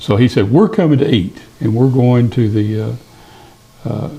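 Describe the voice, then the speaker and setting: With an East Tennessee accent, a man speaks with ordinary pitch variation over noticeable background noise. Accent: Southern US (East Tennessee). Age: 70s. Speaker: podcast guest, retiree. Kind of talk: casual storytelling interview. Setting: studio.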